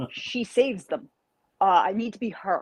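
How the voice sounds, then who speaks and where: A woman with a New York accent speaks in an animated tone, the sound dry and close with no echo. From New York, Carmel. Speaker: martial artist and fantasy author. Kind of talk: podcast interview.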